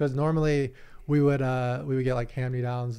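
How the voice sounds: A dark, mellow voice with an American accent, clear and smooth in tone. It moves at a moderate pace with little pitch movement. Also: man, medium pitch for a man.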